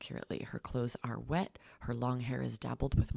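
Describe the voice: Just plain reading aloud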